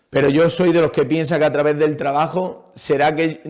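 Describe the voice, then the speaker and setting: This man has a normal speaking voice. His pitch is fairly high, and he keeps a moderate pace with fairly even intonation. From Andalusia, Jaén province. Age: 30s. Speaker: retired footballer and PE teacher. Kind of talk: interview. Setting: podcast recording.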